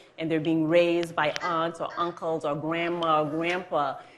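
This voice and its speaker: Audible room echo surrounds a woman's voice as she talks. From Haiti. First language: Haitian Creole / French. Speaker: judge. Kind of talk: interview on stage. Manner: hesitant fillers, conversational.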